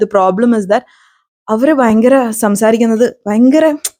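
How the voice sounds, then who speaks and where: A woman's fairly high-pitched voice, dark and mellow in tone, with ordinary pitch variation. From Kerala, Ernakulam district. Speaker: YouTuber. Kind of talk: casual vlog monologue.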